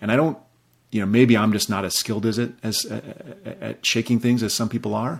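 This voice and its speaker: This man has an American accent and a medium pitch with vocal fry. He talks at a fairly quick pace with fairly even intonation. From US Midwest, South Dakota. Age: 40s. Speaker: personal finance writer. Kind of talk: casual interview chat. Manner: halting.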